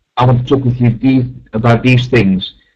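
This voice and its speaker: Somewhat breathy, a man speaks with a Dutch accent. His pitch is medium and his pace moderate. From Netherlands. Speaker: math teacher giving a webinar. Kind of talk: webinar presentation. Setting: online webinar.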